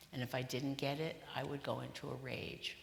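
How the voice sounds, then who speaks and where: At a moderate pace, a woman talks in a very deep, low pitch with vocal fry. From Hungary. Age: 70s. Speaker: Holocaust survivor. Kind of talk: public lecture.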